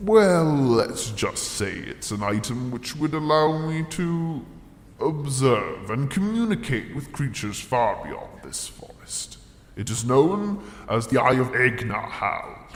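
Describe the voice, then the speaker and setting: With a clear echo and light background noise, a man talks in a put-on character voice at a fairly high pitch and a fairly slow pace. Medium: audio drama. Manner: pompous, self-pitying.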